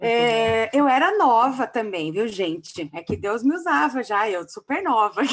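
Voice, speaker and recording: A woman's fairly high voice with very wide pitch swings, a fairly slow pace and hardly any pauses. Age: 30s. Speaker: pastor and theology teacher. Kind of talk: lecture.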